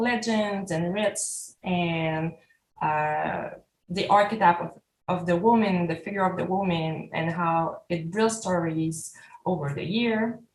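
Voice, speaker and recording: A woman's fairly low, somewhat breathy voice in a French Canadian accent, very slow, with ordinary pitch variation. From Quebec, Canada. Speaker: artist. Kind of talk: artist talk. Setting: video call. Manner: halting.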